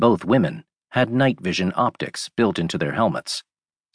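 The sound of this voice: Nothing much sounds in the background. The text is delivered in an unforced reading voice.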